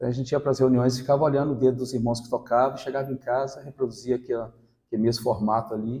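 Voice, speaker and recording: Very fast and somewhat breathy, a man speaks in a dark, mellow tone with monotone, flat intonation. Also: medium pitch for a man. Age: 60s. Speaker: lay preacher. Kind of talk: sermon with personal testimony. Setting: church gathering with congregation.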